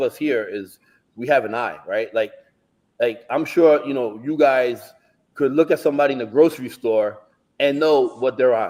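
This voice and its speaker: With an American accent, a man talks at a moderate pace in a dark, mellow tone with ordinary pitch variation. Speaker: bodybuilding prep coach. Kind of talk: casual chat. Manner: animated.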